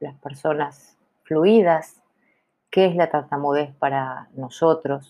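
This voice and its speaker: A very slow woman's voice, very deep and low, with ordinary pitch variation. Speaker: podcaster who stutters. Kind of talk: casual monologue.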